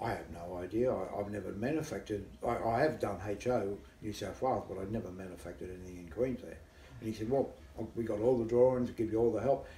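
Against audible room echo and light background noise, a man with a fairly low pitch speaks at a very fast pace, his pitch varying in an ordinary way. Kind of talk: interview answer. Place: home room. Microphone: camera far.

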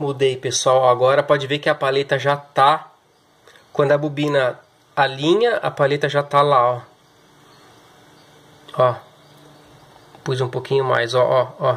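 A man speaks at a fairly slow pace, leaving long, frequent pauses. His intonation stays fairly even. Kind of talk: tutorial. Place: workshop. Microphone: phone near.

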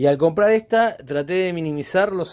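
A man's voice at a moderate pace, with very wide pitch swings. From Uruguay. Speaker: DIY woodworking channel host. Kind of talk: DIY tutorial and vlog. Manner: hesitant with fillers. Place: garden. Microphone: phone near.

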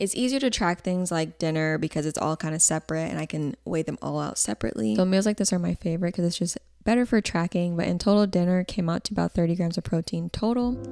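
A woman speaks at a fairly low pitch and a fairly quick pace, with vocal fry. Her pitch variation is ordinary. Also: slightly mellow tone.

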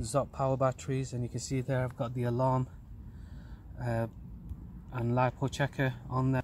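A man speaks in a flat monotone, his voice somewhat breathy. The sound is dry with no echo, over light background noise. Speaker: RC hobby vlogger. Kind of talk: casual vlog chat. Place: street. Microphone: phone near.

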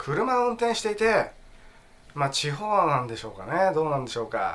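A man talks at a fairly quick pace in a high pitch with very wide pitch swings. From Tokyo. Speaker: actor. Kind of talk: casual talk to camera. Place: home room. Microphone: phone near.

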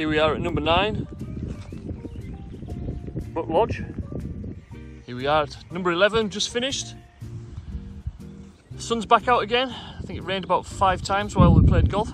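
A man's high-pitched voice at a moderate pace, with long, frequent pauses and big swings in loudness, in a dry sound with no echo over clear music in the background. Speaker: sailing vlogger. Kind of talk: casual vlog chat. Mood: light-hearted, joking. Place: open country. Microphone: phone near.

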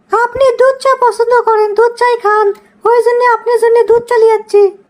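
Doing a cartoonish character voice, a woman speaks fairly quickly at an extremely high pitch, her loudness very even and her intonation monotone and flat. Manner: meek, hesitant.

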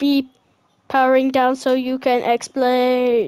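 A female-sounding, put-on character voice sits at a high pitch. It sounds robotic. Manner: robotic, mechanical.

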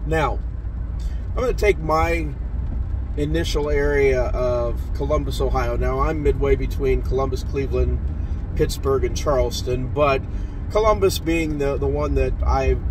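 A man talks at a fairly slow pace, the sound dry with no echo and noticeable background noise behind him. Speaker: auctioneer. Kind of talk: casual vlog chat. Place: car. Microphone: phone near.

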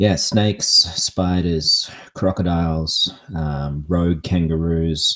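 With an Australian accent, a man speaks in a very deep, low pitch and a bright, sharp tone, his intonation fairly even and broken by long, frequent pauses against a quiet background. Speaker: pickleball coach. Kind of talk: casual chat. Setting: live podcast. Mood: relaxed, joking. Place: home room. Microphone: studio mic.

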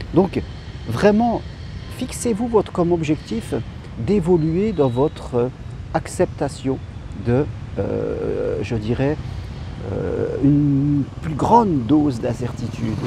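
A man's fairly high voice with very wide pitch swings, at a very slow pace with long, frequent pauses, dry with no echo, over noticeable background noise. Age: 50s. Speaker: life coach. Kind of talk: motivational talk. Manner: hesitant. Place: garden. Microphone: phone near.

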